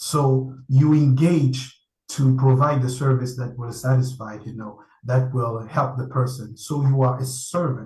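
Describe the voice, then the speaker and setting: A man with a French accent speaks at a fairly slow pace, his medium-pitched voice dark, mellow and somewhat breathy. His intonation is monotone and flat, and the room echo is audible. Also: big swings in loudness. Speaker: panel speaker. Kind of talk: online conference talk. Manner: halting.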